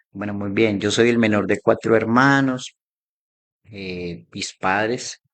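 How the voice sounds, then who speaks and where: Against a quiet background, a man with a fairly low pitch speaks at a very slow pace with fairly even intonation. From Colombia, Armenia (Quindío). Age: 40s. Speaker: former homeless man giving testimony. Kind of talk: testimony. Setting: live online broadcast.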